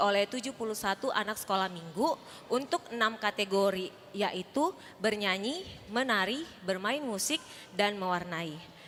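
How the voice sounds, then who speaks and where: Speaking at a moderate pace, a woman uses a normal speaking voice and lively intonation. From Indonesia, Makassar (Sulawesi). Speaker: Sunday school teacher. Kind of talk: welcome speech at church service. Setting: church. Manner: formal.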